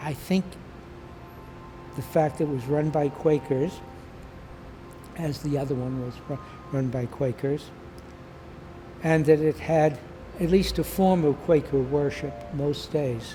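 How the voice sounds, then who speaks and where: A fairly high-pitched man speaks at a fairly slow pace with long, frequent pauses. His intonation is fairly even, and background noise is noticeable. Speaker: peace activist. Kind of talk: interview testimony. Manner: halting.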